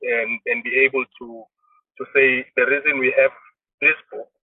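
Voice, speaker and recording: At a moderate pace, a man talks in a South African accent. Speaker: trade union leader. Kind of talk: interview. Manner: halting.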